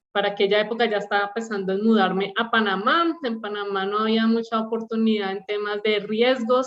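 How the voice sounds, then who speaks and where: Speaking at a moderate pace with fairly even intonation, a woman with a Bogotá accent has a fairly high pitch. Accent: Bogotá Colombian. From Colombia, Bogotá. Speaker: operational excellence leader, panelist. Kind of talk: panel presentation.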